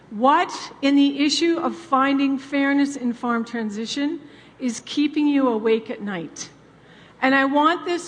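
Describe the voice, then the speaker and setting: Her pitch high, a woman speaks with a Canadian accent. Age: 60s. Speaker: farm family coach. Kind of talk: conference talk. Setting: stage with audience. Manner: animated.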